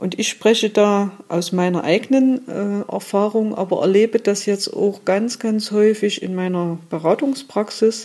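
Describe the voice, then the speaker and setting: Fairly slow, nearly pauseless speech in a dark, mellow tone with ordinary pitch variation. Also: woman, medium pitch for a woman. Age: 50s. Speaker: trauma therapist. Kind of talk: interview.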